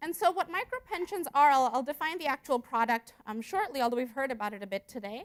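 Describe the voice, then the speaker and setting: In a dry, close recording with no echo, a woman's high voice moves through very wide pitch swings. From India, moved to US at 12. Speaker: economics researcher. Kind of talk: conference presentation. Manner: fast; hesitant fillers.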